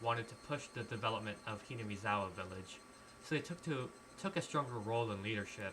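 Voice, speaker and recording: The speaker goes at a very fast pace with ordinary pitch variation. Background noise is noticeable. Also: man. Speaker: streamer. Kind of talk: reading aloud; casual chat. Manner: halting.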